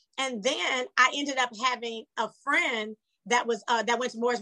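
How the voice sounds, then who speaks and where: A woman speaks at a moderate pace in a high pitch, her tone bright and sharp, the sound dry and close with no echo. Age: 40s. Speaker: reality TV cast member. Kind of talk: interview.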